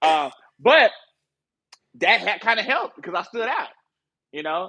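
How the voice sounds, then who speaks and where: Raising and projecting his voice, a man with a strong Southern US accent speaks at a moderate pace and a high pitch, his pitch swinging very widely. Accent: Southern US, still strong. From US South, Marianna, Arkansas. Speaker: music industry promotion director. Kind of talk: casual podcast interview. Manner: halting, many fillers and restarts.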